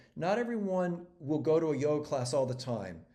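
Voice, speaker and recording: With audible room echo, a man with a dark, mellow tone speaks at a moderate pace, his pitch swinging very widely. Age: 60s. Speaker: regenerative agriculture entrepreneur and activist. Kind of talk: interview. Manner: halting, many repetitions and fillers.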